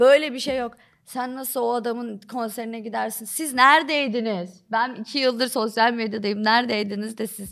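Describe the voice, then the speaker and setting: Captured very cleanly with a silent background, a woman in an ordinary speaking voice talks at a moderate pace with hardly any pauses, fairly high pitch, ordinary pitch variation, and big swings in loudness. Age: 20s. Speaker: TikTok comedy creator. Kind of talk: casual chat.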